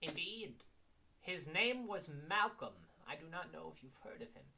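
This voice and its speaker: Using a put-on character voice, a man speaks high for a man at a moderate pace. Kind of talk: formal old-fashioned courtesy. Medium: actual play. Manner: polite, slightly stiff and formal.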